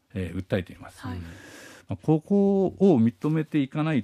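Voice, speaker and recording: The very clean recording, with a silent background and a dry, close sound with no echo, captures a man's dark, mellow tone and very wide pitch swings. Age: 50s. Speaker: radio news commentator. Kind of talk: news commentary.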